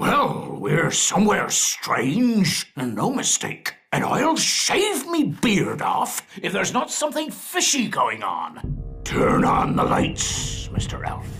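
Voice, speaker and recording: A man speaks at a fairly slow pace in a cartoonish character voice with an extremely high pitch. Faint music plays in the background. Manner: hearty pirate talk, "me" for "my".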